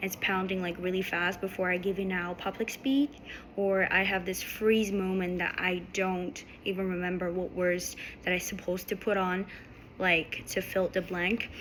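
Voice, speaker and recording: Noticeable background noise sits behind a woman's voice. She talks at a medium pitch in a monotone, flat intonation. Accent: non-native. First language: not English. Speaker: student. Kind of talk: class presentation. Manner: halting.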